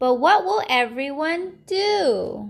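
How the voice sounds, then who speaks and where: Using a put-on character voice, a woman speaks in an upbeat tone at a high pitch. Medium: read story. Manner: friendly, upbeat.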